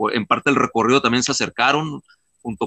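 This man has an ordinary speaking voice at a medium pitch, with ordinary pitch variation and a fairly quick pace. The sound is dry and close, with no echo. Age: 50s. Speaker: ultramarathon runner and mountaineer. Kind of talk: interview.

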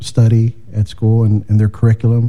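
The speaker is a man with an American accent. His pitch sits fairly low. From East Chicago, Indiana. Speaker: freestyle musician and school educator. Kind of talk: interview chat.

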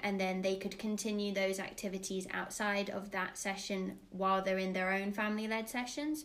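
Audible room echo colors a woman's medium-pitched voice. She keeps a moderate pace and a monotone, flat intonation. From England, raised in Dubai and Florida. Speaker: play leader, former nursery teacher. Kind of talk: casual interview.

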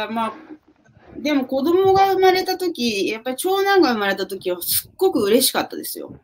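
Her pitch is high and swings very widely. The woman speaks at a moderate pace. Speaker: real estate agent. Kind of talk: casual chat.

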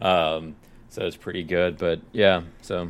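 A man speaks with a Tennessee accent in a very deep, low pitch. His intonation is monotone and flat. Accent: sounds like he's from Tennessee. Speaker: podcast co-host. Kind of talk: casual chat.

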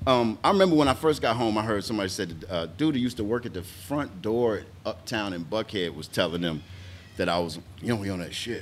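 Here a man with an American accent has a normal speaking voice at a fairly low pitch. He talks at a fairly quick pace with lively intonation. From Atlanta, US South. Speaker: stand-up comedian. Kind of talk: casual interview chat.

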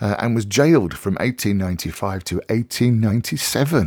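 An ordinary speaking voice with lively intonation moves at a moderate pace in a dry, close sound with no echo. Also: man. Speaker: radio host. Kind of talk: casual radio presenting. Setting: radio studio. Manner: chatty, rambling, informal.

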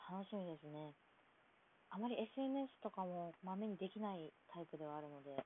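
A woman at medium pitch and a moderate pace, lively in intonation, with a slight Kansai accent. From Kansai, Japan. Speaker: podcaster. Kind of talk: casual solo monologue. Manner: polite, formal.

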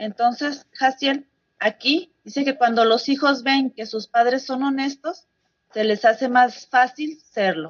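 A woman's high-pitched voice, with ordinary pitch variation, moves along at a very slow pace. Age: 40s. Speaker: congregation member. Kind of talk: Bible study.

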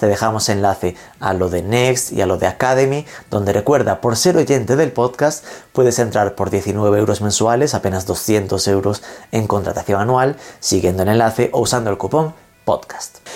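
A man talks at a fairly low pitch in an ordinary speaking voice, with ordinary pitch variation. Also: moderate pace. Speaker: podcast host. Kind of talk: scripted intro and ads; interview.

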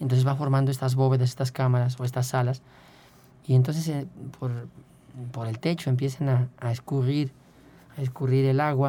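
A moderate pace broken by long, frequent pauses. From Querétaro, Mexico. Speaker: caver and chemist. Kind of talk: radio interview.

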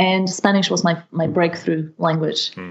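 Speaking at a medium pitch, a woman is heard over a quiet background. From Slovakia. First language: Slovak. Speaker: language mentor. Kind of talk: interview.

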